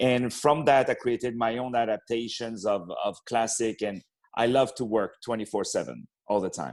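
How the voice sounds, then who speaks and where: A man in a French accent keeps a moderate pace and a medium pitch, with fairly even intonation. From France, Paris. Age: young. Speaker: opera singer and actor. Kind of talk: interview. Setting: radio interview.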